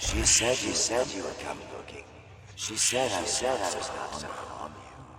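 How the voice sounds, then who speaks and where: Loud background noise surrounds a man doing a put-on character voice at a medium pitch. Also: moderate pace. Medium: audio drama. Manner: amused, coaxing.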